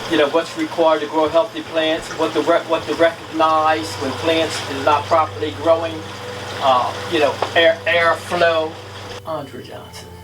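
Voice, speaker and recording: Against noticeable background noise, a man speaks at a moderate pace with a fairly high pitch and fairly even intonation. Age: 60s. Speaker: former prisoner in farm training program. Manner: halting.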